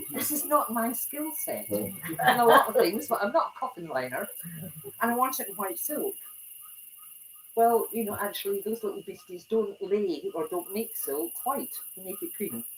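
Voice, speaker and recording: Speaking at a moderate pace with a Scottish accent, a woman uses a fairly high pitch, very wide pitch swings and big swings in loudness. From Scotland. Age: 70s. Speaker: retired club president giving a talk. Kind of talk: talk to a small audience. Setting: small room with audience.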